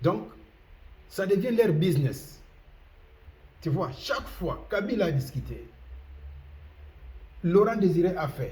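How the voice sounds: With audible room echo, a man with a high pitch and a dark, mellow tone speaks at a fairly slow pace, using lively intonation and long, frequent pauses.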